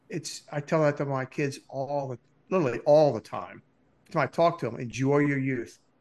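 A man with an American accent speaks at a fairly high pitch and a moderate pace, with ordinary pitch variation. The background is quiet. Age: 60s. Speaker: podcast co-host, Marine Corps veteran. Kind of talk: casual chat.

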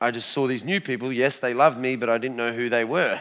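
A man speaks at a very fast pace with an Australian accent and an animated tone. The recording is very clean, with a silent background. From Australia (Adelaide), Lebanese family. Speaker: lay preacher giving testimony. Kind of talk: testimony. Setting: church stage with audience.

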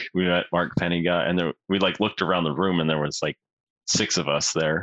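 A man speaks with a western Canadian accent. His pitch is very deep and low, and his intonation stays fairly even. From northern Alberta, Canada. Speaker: member of parliament. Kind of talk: casual interview.

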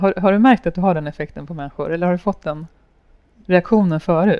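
Her voice is fairly low in pitch, and this woman's pitch varies in an ordinary way. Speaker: podcast host. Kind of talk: interview. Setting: café with small audience.

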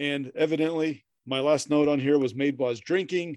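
Fairly high in pitch, this man has an ordinary speaking voice. He keeps a fairly quick pace and fairly even intonation. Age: 40s. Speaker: podcast co-host. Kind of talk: casual chat.

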